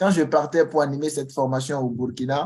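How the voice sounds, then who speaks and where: A man's fairly high voice with a Beninese accent, fairly even intonation and a fairly quick pace. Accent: Beninese accent, noticeable to Ivorians. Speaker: Excel trainer. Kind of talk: online information session. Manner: halting, with repetitions.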